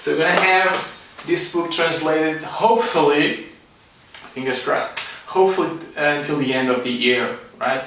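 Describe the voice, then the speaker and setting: A man's fairly high voice in a Portuguese accent at a moderate pace with long, frequent pauses, amid audible room echo and noticeable background noise. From Portugal. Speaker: energy medicine teacher and psychologist. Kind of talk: online class talk.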